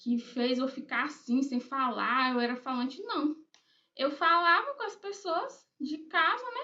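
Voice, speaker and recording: A woman's high, bright, sharp voice is raised and projected. Her intonation is lively, though her pace is fairly slow. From Brazil, Bahia (Eunápolis, rural area). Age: 20s. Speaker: writer, YouTuber. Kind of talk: personal vlog introduction. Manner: casual, hesitant with fillers.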